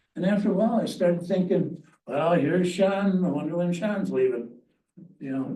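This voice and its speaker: A man talks at a high pitch with a dark, mellow tone and ordinary pitch variation. His moderate pace comes through audible room echo. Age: 80s+. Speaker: landowner speaking at public comment. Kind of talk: public comment at a county meeting. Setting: county planning commission meeting.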